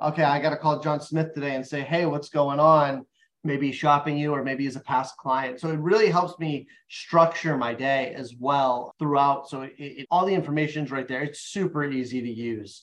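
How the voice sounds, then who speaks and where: In a normal speaking voice, the speech moves at a moderate pace with fairly even intonation. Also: man, fairly high pitch for a man. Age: 30s. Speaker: mortgage loan officer. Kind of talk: podcast interview.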